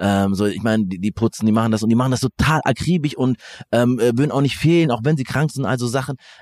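A man talks at a very fast pace in a medium pitch. The sound is dry and close, with no echo. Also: ordinary pitch variation. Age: 30s. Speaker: podcast host. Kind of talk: interview conversation. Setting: outdoors in a hotel courtyard. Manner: halting, many fillers.

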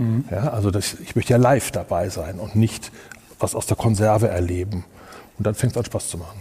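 A man at a fairly low pitch, fairly quick pace and ordinary pitch variation, over noticeable background noise. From Germany, Kassel (northern Hesse). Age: 50s. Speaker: event technology company owner. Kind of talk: interview.

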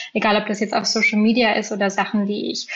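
Somewhat breathy, a woman talks at a medium pitch. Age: 20s. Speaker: field marketer. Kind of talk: interview.

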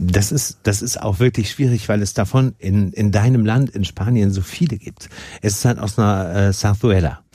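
A man with a fairly low pitch speaks in a dark, mellow tone, somewhat breathy, with ordinary pitch variation. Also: moderate pace. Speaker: podcast host. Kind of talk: casual interview. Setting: studio.

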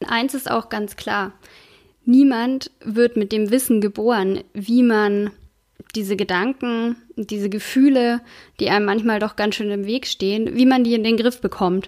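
Captured in a very clean recording with a silent background, a woman speaks at a fairly slow pace with a fairly high pitch and fairly even intonation. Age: 30s. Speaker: podcast host and entrepreneur. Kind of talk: solo podcast monologue.

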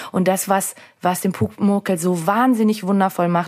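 With an unremarkable speaking voice, a woman talks at a fairly quick pace and a medium pitch. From Austria, Salzburg. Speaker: podcast co-host. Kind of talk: casual chat; scripted narration.

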